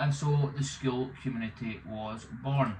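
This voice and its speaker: With noticeable background noise, a man with a Scottish accent talks at a fairly slow pace. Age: 30s. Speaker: removals business owner. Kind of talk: vlog monologue. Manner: hesitant, with fillers.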